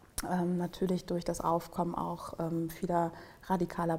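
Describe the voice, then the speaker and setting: A woman speaking at a fairly slow pace in a flat, monotone way. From Germany. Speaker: tech policy manager. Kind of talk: podcast interview.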